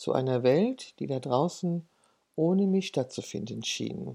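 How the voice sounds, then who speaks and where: In a very clean recording with a silent background, a woman speaks at a very slow pace in a very deep, low pitch, her dark, mellow tone moving through very wide pitch swings. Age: 60s. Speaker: podcaster and portrait photographer. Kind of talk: personal monologue.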